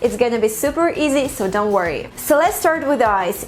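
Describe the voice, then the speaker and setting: With music in the background, a woman speaks at a moderate pace in a high voice. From Russia. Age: 20s. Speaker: language teacher. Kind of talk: tutorial.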